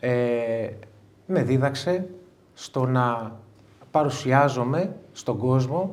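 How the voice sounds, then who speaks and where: A man is speaking. There is audible echo from the room. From Greece, Igoumenitsa (Epirus). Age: 40s. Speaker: interview guest, coach. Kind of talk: live interview before an audience. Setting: stage with audience.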